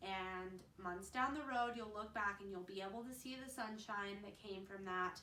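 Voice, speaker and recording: A woman's medium-pitched voice at a moderate pace, with ordinary pitch variation, hardly any pauses, noticeable background noise and audible room echo. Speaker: mom vlogger. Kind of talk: casual vlog advice. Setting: at home.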